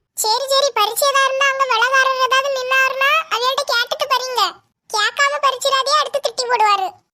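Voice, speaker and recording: This cartoonish character voice sits at an extremely high pitch. It moves at a moderate pace. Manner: bossy, insists on no interruptions.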